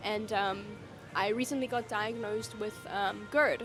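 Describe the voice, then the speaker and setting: A woman's pitch varies in an ordinary way while music plays in the background. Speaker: vlogger and teacher. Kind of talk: casual vlog talk.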